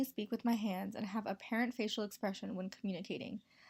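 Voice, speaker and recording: In an American accent, a woman with a somewhat breathy, fairly high voice speaks very fast with fairly even intonation. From Montana, US. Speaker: college student. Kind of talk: class presentation voiceover. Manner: read from script.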